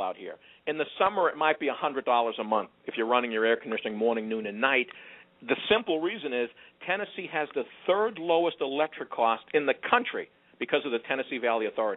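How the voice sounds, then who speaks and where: At a very fast pace, a man with an American accent talks in a fairly high pitch. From Boston area, US Northeast. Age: 50s. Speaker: real estate developer. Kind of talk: radio interview.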